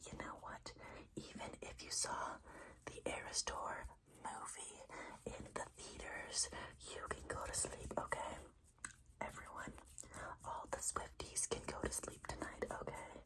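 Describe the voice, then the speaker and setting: Whispering at a fairly slow pace, a woman leaves long, frequent pauses against noticeable background noise. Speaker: ASMR creator. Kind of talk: ASMR sleep-wishing talk to camera. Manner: soft, whispery, repetitive triggers.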